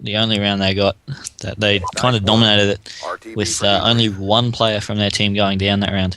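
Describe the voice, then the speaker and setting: An Australian accent at a moderate pace, with a bright, sharp tone and monotone, flat intonation. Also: man. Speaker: esports shoutcaster. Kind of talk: live esports shoutcast commentary.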